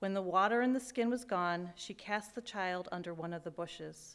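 A woman talks with ordinary pitch variation, keeping a moderate pace. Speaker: scripture reader. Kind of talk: scripture reading. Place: church.

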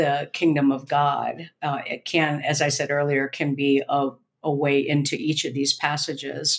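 A woman with a very deep, low pitch, at a fairly slow pace. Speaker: seminary professor, podcast co-host. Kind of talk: casual scholarly discussion of scripture. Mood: engaged, friendly. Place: home room. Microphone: video call.

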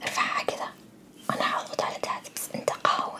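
A woman whispers. She speaks at a fairly slow pace. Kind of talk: soft role-play instructions, ASMR-like. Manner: soft close ASMR roleplay voice. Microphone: phone near.

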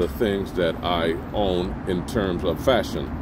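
A man's voice in a dry sound with no echo, over noticeable background noise. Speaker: product reviewer. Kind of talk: product review talk. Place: garden.

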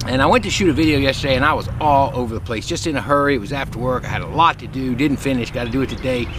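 At a very fast pace, a man talks with ordinary pitch variation in a dry sound with no echo, backed by noticeable background noise. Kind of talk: casual vlog chat. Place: garden. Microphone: phone near.

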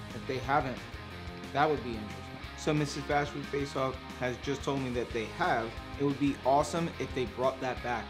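Clear music plays in the background as a man talks. He moves at a fairly quick pace with ordinary pitch variation. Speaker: food reviewer. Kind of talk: casual food review vlog. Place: kitchen.

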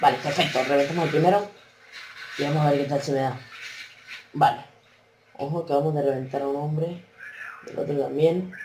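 A man's voice with fairly even intonation, light background noise and audible room echo. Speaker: gaming youtuber. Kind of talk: gameplay commentary. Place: home room.

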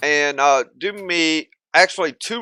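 A man speaks slowly at a fairly high pitch, with lively intonation and a bright, sharp tone, in a dry, close sound with no echo.

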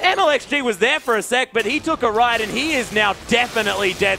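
A man speaks at an extremely high pitch in a raised, projected voice, with ordinary pitch variation. His pace is moderate, and music plays in the background. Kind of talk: esports commentary.

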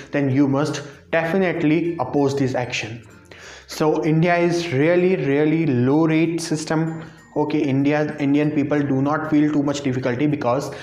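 A man talks with very even loudness and fairly even intonation. Faint music plays behind him, and the room echo is audible. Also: moderate pace. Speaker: vlogger. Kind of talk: casual vlog chat. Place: home room. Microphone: lapel.

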